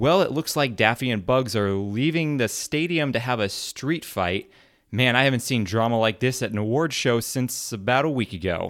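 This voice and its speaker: A man speaks at a moderate pace in a normal speaking voice, medium in pitch, with lively intonation. The recording is very clean, with a silent background. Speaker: podcast co-host guest presenter. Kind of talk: comedic award presentation.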